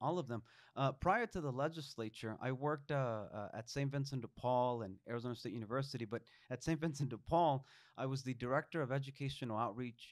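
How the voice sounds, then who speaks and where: With a Spanish accent, a man talks at a very fast pace and medium pitch. His pitch variation is ordinary, and the background is quiet. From Mexico. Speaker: state legislator. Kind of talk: interview. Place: studio. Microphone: studio mic.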